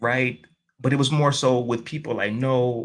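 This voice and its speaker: Speaking with a New York accent, a man's voice sits at a medium pitch. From New York City, Queens. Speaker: life coach and motivational speaker. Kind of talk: interview conversation.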